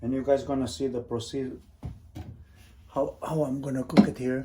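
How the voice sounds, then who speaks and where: A man with a Portuguese accent, medium in pitch, with a dark, mellow tone at a moderate pace. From Portugal. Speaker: cooking vlogger. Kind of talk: cooking tutorial. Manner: casual.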